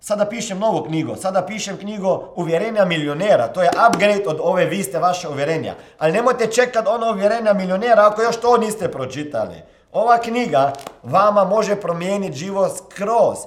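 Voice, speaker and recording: With audible room echo and noticeable background noise, a man speaks at a fairly quick pace in a high pitch with ordinary pitch variation. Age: 40s. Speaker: motivational coach and podcast host. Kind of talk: motivational monologue.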